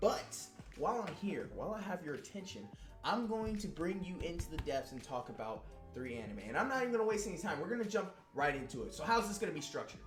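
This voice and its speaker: With an American accent, a man talks at a very fast pace in an animated tone, using a high pitch and very wide pitch swings. Music plays in the background, and the room has an audible echo. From Texas, Houston. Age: 20s. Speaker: anime youtuber. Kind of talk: casual vlog talk.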